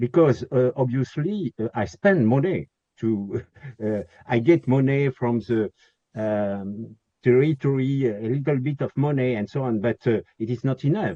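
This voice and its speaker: A man's medium-pitched voice with a French accent. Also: ordinary pitch variation, fairly slow pace. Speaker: historic castle owner. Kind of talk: webinar Q&A. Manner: halting, many fillers.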